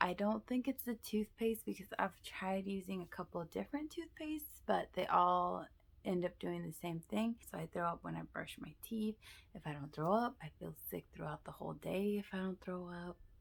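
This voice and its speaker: Whispering, a woman speaks at a moderate pace. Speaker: vlogger. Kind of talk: casual vlog.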